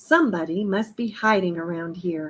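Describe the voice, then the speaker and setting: At a moderate pace, a woman does a put-on character voice at medium pitch with ordinary pitch variation. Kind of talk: bedtime story. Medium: read story.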